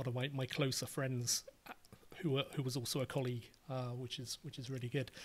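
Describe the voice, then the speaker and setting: A man with a British accent and medium pitch. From England. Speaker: writer and podcaster. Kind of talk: casual interview.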